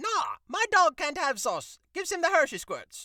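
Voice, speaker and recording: A man puts on a gruff character voice at an extremely high pitch, speaking at a moderate pace with very wide pitch swings. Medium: read story. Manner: gruff, crude.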